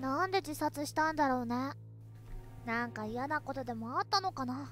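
A nasal, put-on character voice at a moderate pace over music in the background. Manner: worried, musing.

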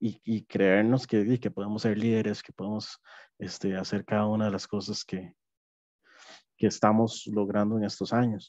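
Against a quiet background, a man speaks at a fairly low pitch and a fairly slow pace, in a dark, mellow tone with monotone, flat intonation and a dry sound with no echo. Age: 30s. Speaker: app development project manager, neurodivergent employee; webinar panelist. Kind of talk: personal testimony. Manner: halting, many fillers. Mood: calm, reflective. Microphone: headset.

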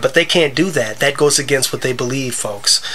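A man's raised, projected voice over noticeable background noise. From US Midwest (Wisconsin). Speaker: gaming video creator. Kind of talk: gameplay commentary with religious monologue. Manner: halting, many fillers.

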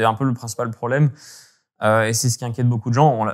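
A man's medium-pitched voice with fairly even intonation, against a quiet background. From French Alps, Hautes-Alpes (Gap); Hautes-Alpes, France. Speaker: climate researcher and former ski journalist; guest, former journalist. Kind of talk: interview. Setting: remote call. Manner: halting, many hesitations. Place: home room. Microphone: video call.

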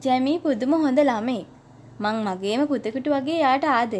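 A woman's high voice at a very slow pace, with very wide pitch swings. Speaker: audiobook narrator. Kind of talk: Sinhala audiobook reading of a translated classic novel. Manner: unhurried, expressive read-aloud pace; steady storytelling narration, shifting into conversational tones for character dialogue.

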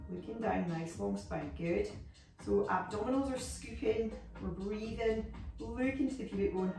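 A woman speaks fairly slowly with audible room echo and clear music in the background. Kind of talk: exercise class instruction. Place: home room. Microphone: camera far.

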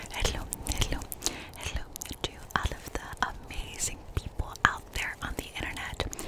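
Whispering, soft-spoken woman at a moderate pace. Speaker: content creator. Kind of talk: casual vlog chat, ASMR-like whisper talk. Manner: soft close-mic ASMR whisper. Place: open country. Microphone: studio mic.

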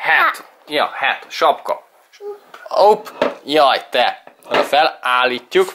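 A man speaks at a very slow pace. His speech has long, frequent pauses. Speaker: vlogger. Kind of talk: casual vlog talk to camera.

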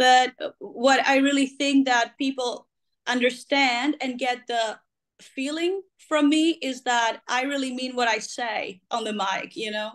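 Over a quiet background, a woman with a Greek accent speaks fairly slowly at a high pitch, with ordinary pitch variation. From Greece. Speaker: rock singer; interviewee. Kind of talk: interview. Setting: video call. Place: home room. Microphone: video call.

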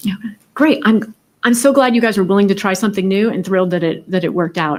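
Animated and very fast, a woman talks at medium pitch with ordinary pitch variation. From New England. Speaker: school board member. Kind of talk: public meeting discussion. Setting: school board meeting.

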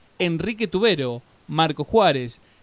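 This man talks at a very slow pace. His pitch is fairly high, with lively intonation. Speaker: announcer reading winners list. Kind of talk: reading aloud a list of winner names.

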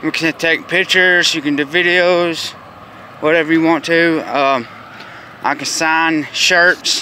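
Light background noise sits under a man's high, monotone voice, flat in intonation. He speaks fairly slowly, and the sound is dry with no echo. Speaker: vlogger. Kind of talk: casual vlog chat. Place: street. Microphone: phone near.

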